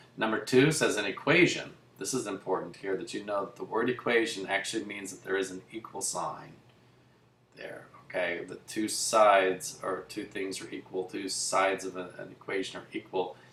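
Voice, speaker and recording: A man at a moderate pace with big swings in loudness, audible room echo and noticeable background noise. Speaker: math teacher. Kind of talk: lecture. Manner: casual.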